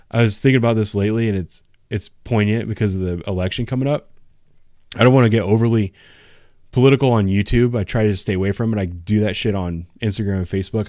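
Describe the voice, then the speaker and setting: A man with an Ohio accent, fairly low in pitch, at a very fast pace with fairly even intonation, in a very clean recording with a silent background. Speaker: police officer and YouTuber. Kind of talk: casual chat. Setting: live stream.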